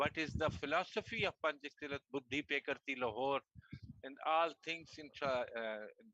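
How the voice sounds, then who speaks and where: With a Pakistani accent, a man speaks in a fairly high, bright, sharp tone. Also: ordinary pitch variation, moderate pace, dry, close sound with no echo. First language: Urdu. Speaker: martial arts federation president. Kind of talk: video call panel discussion. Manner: halting.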